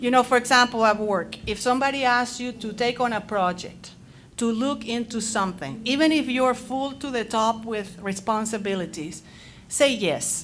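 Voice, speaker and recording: At a moderate pace, a woman speaks at a fairly high pitch with a Spanish accent. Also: ordinary pitch variation. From Latin America. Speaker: teacher and panelist. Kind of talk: panel discussion. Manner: loud; animated.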